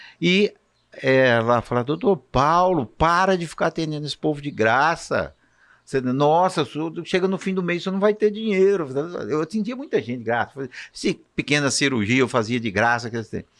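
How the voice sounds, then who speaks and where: Against a quiet background, a man with a fairly high voice talks at a moderate pace, his pitch swinging very widely. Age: 60s. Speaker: physician. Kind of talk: casual chat.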